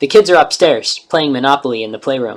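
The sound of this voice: An unforced reading voice delivers the text.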